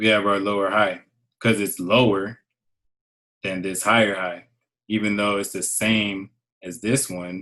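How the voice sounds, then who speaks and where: A man speaks at a fairly slow pace with long, frequent pauses. His tone is bright and sharp, his pitch fairly low, and his intonation monotone and flat. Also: quiet background. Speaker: trading teacher. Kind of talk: lecture.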